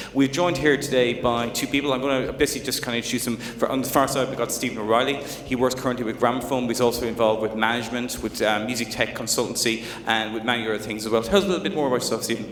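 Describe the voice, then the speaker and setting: With an Irish accent, a man rattles along at a very fast pace with hardly any pauses over noticeable background noise. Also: medium pitch for a man, fairly even intonation. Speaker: journalist, panel moderator. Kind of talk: panel discussion.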